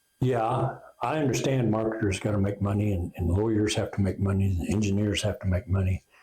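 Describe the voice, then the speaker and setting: A man with an American accent at a fairly quick pace, with very even loudness and ordinary pitch variation. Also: fairly low pitch for a man. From Oklahoma. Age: 60s. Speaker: inventor and company founder. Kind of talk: interview.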